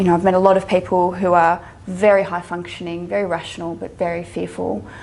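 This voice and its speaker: A woman in an Australian accent at a fairly quick pace, with noticeable background noise. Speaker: psychologist and social worker. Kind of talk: lecture. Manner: halting.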